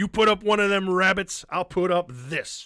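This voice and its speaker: A man uses a put-on character voice pitched high. He keeps a moderate pace. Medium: actual play. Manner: gruff, challenging.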